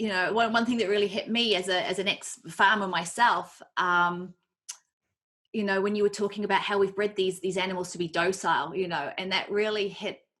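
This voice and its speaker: A woman speaks in a normal speaking voice at medium pitch, her intonation fairly even. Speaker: vegan activist, interviewer, ex-farmer. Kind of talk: interview question.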